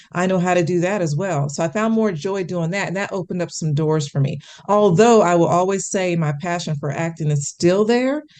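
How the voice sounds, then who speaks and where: A woman speaks at a fairly quick pace with hardly any pauses, in a plain, everyday voice. Her pitch is fairly low, with ordinary pitch variation. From US Midwest, Kansas City, Missouri. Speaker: actress and television correspondent. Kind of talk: interview.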